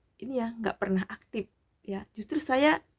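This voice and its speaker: At a fairly slow pace, a woman talks. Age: 40s. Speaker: vlogger, community member. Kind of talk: casual vlog sharing. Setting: at night.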